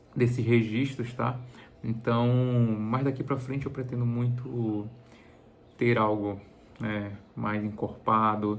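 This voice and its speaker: A man speaks very slowly at a medium pitch, leaving long, frequent pauses. His intonation is flat and monotone, with audible echo in the room. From Bahia, Brazil (Salvador area). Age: 40s. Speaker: travel vlogger. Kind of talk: casual vlog introduction. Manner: halting, many fillers and repeated words.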